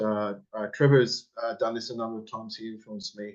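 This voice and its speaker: An Australian-accented man's voice, medium in pitch, with ordinary pitch variation. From Australia, Greek migrant parents. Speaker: elementary school teacher, forum member. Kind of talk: casual interview chat. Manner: halting, many fillers.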